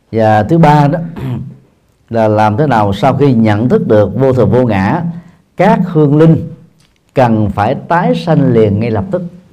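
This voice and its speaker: With a dark, mellow tone, the speaker goes at a fairly slow pace with long, frequent pauses, and the room echo is audible. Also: man, medium pitch for a man. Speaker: Buddhist monk and dharma teacher. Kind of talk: dharma talk answering audience questions. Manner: halting with frequent fillers.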